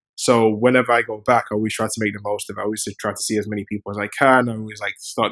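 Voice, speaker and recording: Very fast speech from a man, his pitch medium. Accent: British. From London, England. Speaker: software engineer and startup founder. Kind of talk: podcast interview. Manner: casual, with many fillers and repetitions.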